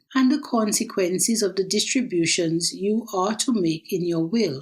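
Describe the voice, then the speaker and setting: Her voice is somewhat breathy. The woman speaks at a fairly slow pace. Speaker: will writer and author. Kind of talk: audiobook reading of own nonfiction book.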